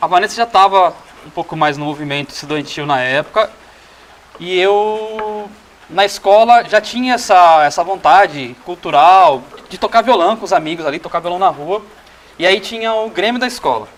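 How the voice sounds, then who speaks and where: A man with a high voice speaks with lively intonation over noticeable background noise. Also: moderate pace. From Cajamar, São Paulo state, Brazil. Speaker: communicator and musician. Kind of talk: casual chat.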